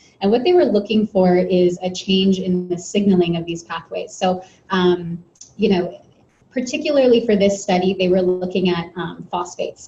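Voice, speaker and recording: A somewhat breathy woman's voice of dark, mellow tone, with ordinary pitch variation at a moderate pace. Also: medium pitch for a woman. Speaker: presenter at an essential oils meeting. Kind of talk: presentation to a live audience. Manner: conversational, many fillers.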